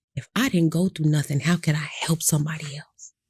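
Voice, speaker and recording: Somewhat breathy and fairly low, the woman's voice has a dark, mellow tone and a monotone, flat intonation. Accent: American. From Michigan, near Detroit. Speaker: abuse survivor and speaker. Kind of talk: interview testimony.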